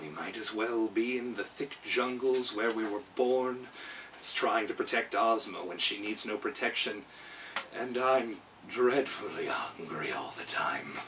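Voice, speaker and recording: A man's put-on character voice, medium in pitch, at a moderate pace over clear background noise. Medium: read story. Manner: sleepy, purring.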